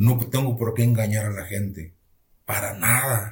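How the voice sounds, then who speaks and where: The voice, somewhat breathy, keeps fairly even intonation at a fairly slow pace. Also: man. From northern Mexico, rural Nuevo León. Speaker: pastor. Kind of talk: testimony.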